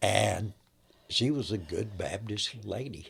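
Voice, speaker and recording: A man speaks with vocal fry in a very clean recording against a silent background. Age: 80s+. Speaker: grandfather telling love story. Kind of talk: interview storytelling. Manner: conversational, with hesitations.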